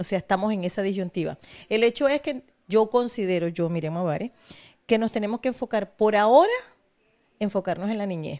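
Recorded very cleanly with a silent background and a dry, close sound with no echo, a woman talks at a fairly quick pace and a medium pitch in a dark, mellow tone, leaving long, frequent pauses. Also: ordinary pitch variation. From Venezuela, Maracaibo (Zulia). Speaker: charity foundation founder. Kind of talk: interview.

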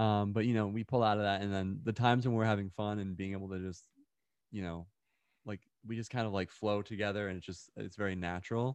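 Talking at a very fast pace, a man with a fairly low pitch keeps his intonation fairly even. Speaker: musician and gamer. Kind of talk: casual interview chat.

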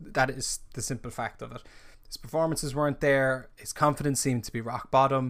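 A man with an Irish accent talks at a moderate pace and medium pitch with fairly even intonation, on a very clean recording with a silent background. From Ireland. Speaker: football podcast host. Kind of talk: casual solo live-stream commentary. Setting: live stream.

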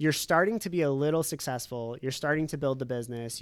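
A man's unremarkable speaking voice, medium in pitch, at a fairly quick pace. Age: 30s. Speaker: financial planner. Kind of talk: casual chat.

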